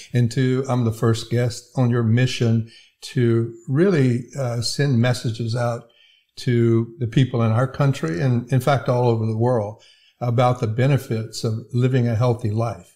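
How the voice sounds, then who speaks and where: With an American accent, a man talks at a fairly slow pace in a dark, mellow, somewhat breathy tone, his medium pitch held in fairly even intonation on a very clean recording with a silent background. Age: 70s. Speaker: healthcare IT executive and veteran. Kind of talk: casual interview. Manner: hesitant with fillers.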